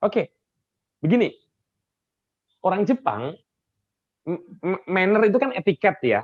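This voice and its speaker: With a Javanese accent, a man talks at a moderate pace. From Java, Indonesia. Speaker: soft skills coach. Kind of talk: online training talk. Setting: video call. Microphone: echo when others unmute.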